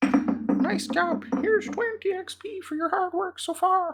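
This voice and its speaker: In a put-on character voice, the speaker pitches every word extremely high. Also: fairly slow pace. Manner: funny.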